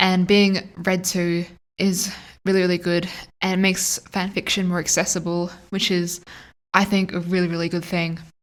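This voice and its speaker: A strong Australian accent at a moderate pace, on a very clean recording with a silent background. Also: woman, medium pitch for a woman. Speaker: fanfiction audiobook narrator. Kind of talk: casual chat to viewers. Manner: animated.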